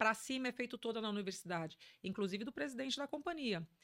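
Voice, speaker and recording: Lively intonation from a woman with a fairly high pitch. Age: 50s. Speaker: business executive. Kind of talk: interview.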